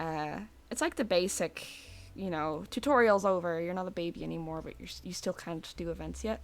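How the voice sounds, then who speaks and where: Music plays behind a woman's speech. She talks at a fairly quick pace. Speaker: vtuber streamer. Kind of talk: casual live stream chat while drawing. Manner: quiet, not speaking loudly; relaxed, hesitant with fillers.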